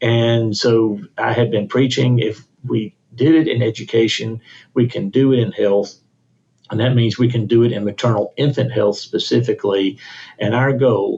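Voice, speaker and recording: A man with a Mississippi accent talks at a moderate pace in a medium, somewhat breathy voice with fairly even intonation. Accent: Mississippi Southern US. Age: 60s. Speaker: state health officer, physician. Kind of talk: podcast interview.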